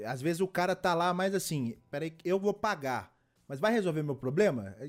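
At a moderate pace, a man with a normal speaking voice talks at a fairly high pitch. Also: very clean recording, silent background. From Belo Horizonte, Brazil. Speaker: podcast host. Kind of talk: casual chat.

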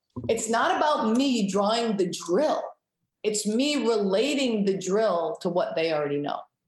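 A woman talks at a fairly slow pace with very even loudness and very wide pitch swings. Audible room echo surrounds her voice. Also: fairly high pitch for a woman. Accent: American. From Rhode Island, US (Cranston). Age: 50s. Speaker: hockey coach. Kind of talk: interview.

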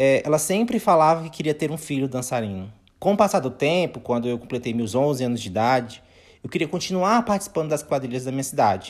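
Very wide pitch swings from a male speaker, on a very clean recording against a silent background. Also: fairly high pitch for a man. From Maranhão, Brazil. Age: 20s. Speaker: podcast host. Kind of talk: scripted narration.

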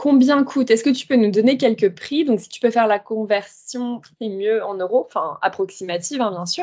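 With a plain, everyday voice, the speaker goes at a moderate pace with ordinary pitch variation and hardly any pauses. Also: woman, fairly high pitch for a woman, big swings in loudness. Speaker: podcast host. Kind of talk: casual interview.

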